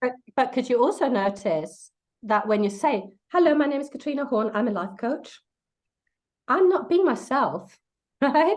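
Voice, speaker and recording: A woman with a non-native accent speaks at a high pitch and moderate pace, with very wide pitch swings and long, frequent pauses. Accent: foreign. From Denmark. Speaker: life coach. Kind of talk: casual interview chat. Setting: livestream video call.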